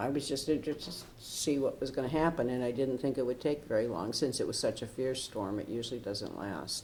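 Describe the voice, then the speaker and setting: Speaking at a fairly quick pace, a woman with an American accent has a very deep, low pitch. The room echo is audible. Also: ordinary pitch variation. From Michigan. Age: 70s. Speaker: retired professor, storm survivor. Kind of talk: oral history interview. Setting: city hall recording room. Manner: talkative.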